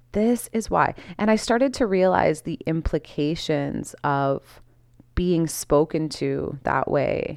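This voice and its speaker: A woman's relaxed voice at a very slow pace, broken by long, frequent pauses, on a very clean recording with a silent background. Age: 30s. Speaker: podcast host, holistic wellness. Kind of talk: casual unscripted monologue. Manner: relaxed, with frequent fillers.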